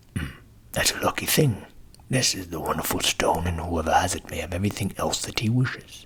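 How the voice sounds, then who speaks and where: A man whispering in a put-on character voice at a fairly quick pace. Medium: read story. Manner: bossy, boastful.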